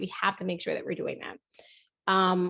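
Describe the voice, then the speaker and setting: A woman's medium-pitched voice is heard with a quiet background. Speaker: educator and speaker. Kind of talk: webinar presentation. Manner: fast.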